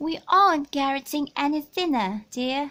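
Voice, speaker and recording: A woman puts on a character voice, pitched high. She projects it loudly at a moderate pace. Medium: read story.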